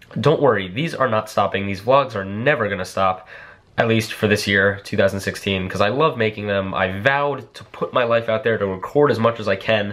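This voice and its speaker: A man with a fairly low pitch, at a moderate pace and with ordinary pitch variation. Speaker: vlogger. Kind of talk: casual vlog chat. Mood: reflective, earnest. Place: home room. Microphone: phone near.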